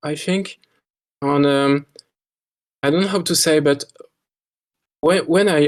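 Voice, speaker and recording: A man speaks with a French accent at a fairly high pitch. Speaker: park builder, game design contestant. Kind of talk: interview about own work. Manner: halting, many repetitions and fillers.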